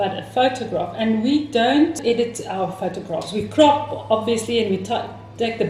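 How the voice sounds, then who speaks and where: A woman with a non-native accent speaks at a fairly high pitch and moderate pace, with ordinary pitch variation. Room echo is audible and background noise is noticeable. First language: not English. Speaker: co-host of a style channel. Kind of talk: casual chat. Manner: halting, searching for words.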